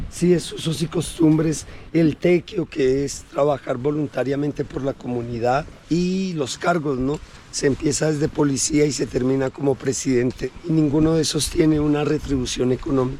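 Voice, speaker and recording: At a moderate pace, a man talks at a fairly high pitch with fairly even intonation over noticeable background noise. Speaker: local resident and guide. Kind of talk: casual chat.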